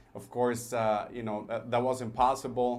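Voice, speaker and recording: Audible room echo surrounds a man who speaks at a medium pitch and a moderate pace. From El Paso, Texas / Juárez border area. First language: Spanish. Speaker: business owner, entrepreneur. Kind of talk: radio interview. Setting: studio. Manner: hesitant, many fillers.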